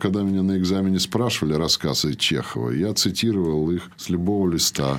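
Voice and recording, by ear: This man speaks in a theatrical tone at a fairly quick pace. His pitch is low, with ordinary variation.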